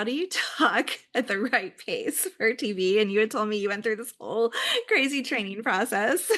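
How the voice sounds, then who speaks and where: This woman's voice is fairly high in pitch, with a bright, sharp tone. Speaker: podcast host. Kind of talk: interview conversation. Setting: podcast.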